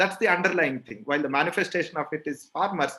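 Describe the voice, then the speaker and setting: This is a man speaking. He has a South Indian accent. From South India, Rayalaseema region (Andhra/Karnataka). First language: Telugu. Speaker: agri-fintech company founder. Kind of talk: interview conversation.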